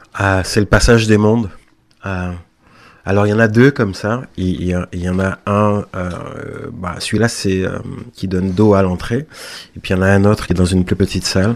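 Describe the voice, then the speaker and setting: This man's voice sits fairly low, and his intonation stays fairly even. He talks at a moderate pace with long, frequent pauses. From Guadeloupe. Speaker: visual artist. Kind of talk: radio interview. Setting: radio studio. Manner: halting, many repeated words.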